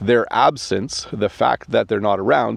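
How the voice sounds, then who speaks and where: A man with a Canadian accent speaks in a dry recording with no echo. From Canada. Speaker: English teacher. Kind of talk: casual talk to camera. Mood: warm, friendly. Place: open country. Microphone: phone near.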